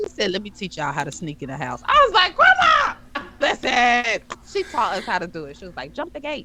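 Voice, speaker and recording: A woman speaks with big swings in loudness. Noticeable background noise runs behind her. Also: fairly quick pace. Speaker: podcast co-host. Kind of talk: casual chat. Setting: live stream. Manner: animated.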